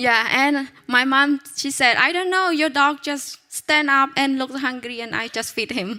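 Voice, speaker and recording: A woman talks in a high, raised, projected voice at a fairly slow pace, with hardly any pauses and ordinary pitch variation. Noticeable background noise is present. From Cambodia. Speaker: pastor's wife. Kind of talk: testimony.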